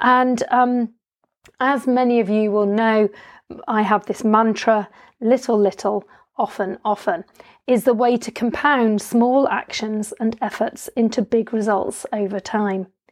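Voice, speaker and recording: A woman speaks at a fairly slow pace in a fairly high voice, her intonation fairly even against a quiet background. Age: 50s. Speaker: health coach podcast host. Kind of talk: solo podcast monologue. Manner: hesitant, many fillers.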